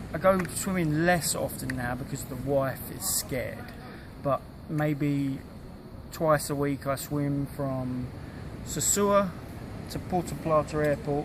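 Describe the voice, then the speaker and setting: Amid noticeable background noise, a man with a British accent and a fairly high pitch speaks very slowly with fairly even intonation and long, frequent pauses. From UK. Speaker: long-distance swimmer. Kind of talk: casual interview.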